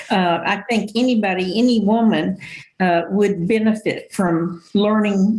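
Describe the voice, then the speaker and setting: This woman's voice sits at a medium pitch and is somewhat breathy. Her intonation stays fairly even. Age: 70s. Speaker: senior advisor. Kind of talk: podcast interview.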